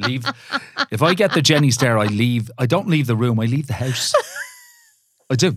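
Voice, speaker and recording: Moderate pace from a man, broken by long, frequent pauses. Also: medium pitch for a man, ordinary pitch variation. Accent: Irish. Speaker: presenter, podcast co-host. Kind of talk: casual chat.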